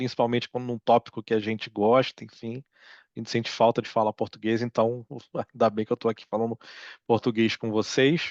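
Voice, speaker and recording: Against a quiet background, a man talks at a fairly quick pace in a medium pitch, the sound dry and close with no echo. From Brazil. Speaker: psychology researcher, professor. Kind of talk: lecture. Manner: hesitant, many fillers.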